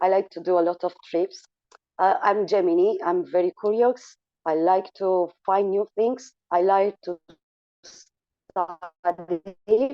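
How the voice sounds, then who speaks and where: In a Romanian accent, a woman at a medium pitch talks very slowly with fairly even intonation. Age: 40s. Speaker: school teacher and coach. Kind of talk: online talk. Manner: slow, halting.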